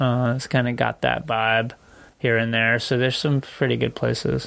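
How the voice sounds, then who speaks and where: A man's ordinary speaking voice with an American accent, medium pitch, ordinary pitch variation and a moderate pace. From Connecticut, US. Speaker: cycling podcast co-host, amateur bike racer. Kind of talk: casual chat. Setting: studio.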